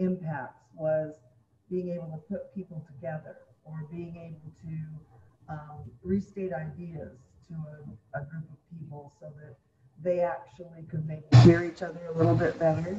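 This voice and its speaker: A woman with a fairly low pitch and a dark, mellow, somewhat breathy tone talks at a fairly slow pace in a monotone, flat intonation, her loudness swinging widely. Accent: American. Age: 70s. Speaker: former mayor and state legislator. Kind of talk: panel discussion. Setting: virtual panel.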